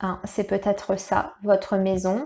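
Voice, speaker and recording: A woman's medium-pitched voice at a moderate pace. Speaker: tarot reader. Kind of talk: tarot reading guidance. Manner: halting, stumbling over words.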